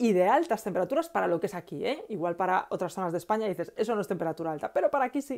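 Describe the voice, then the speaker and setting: A woman speaks in a dark, mellow tone with very wide swings in pitch. The background is quiet. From Galicia, Spain. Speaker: aromatherapy educator and author; aromatherapy educator. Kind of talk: live Q&A stream. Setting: live stream on Facebook and Instagram. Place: home room. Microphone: earbuds.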